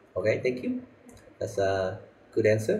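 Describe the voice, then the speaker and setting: At a moderate pace, a man speaks with a Vietnamese accent. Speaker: IELTS speaking teacher. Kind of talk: live online lesson feedback. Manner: moderate, controlled pace.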